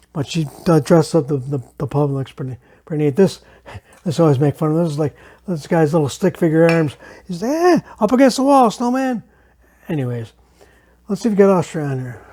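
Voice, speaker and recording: A man with a fairly high voice and a dark, mellow tone talks fairly quickly, his pitch swinging very widely between long, frequent pauses. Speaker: home cocktail video host. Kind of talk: casual tutorial. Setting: home bar. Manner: impaired speech after brain injury; casual, chatty.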